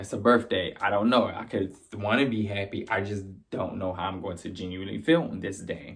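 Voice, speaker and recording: Fairly low male voice, fairly quick, with ordinary pitch variation. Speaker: video blogger. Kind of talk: personal testimony. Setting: live stream. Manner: loud.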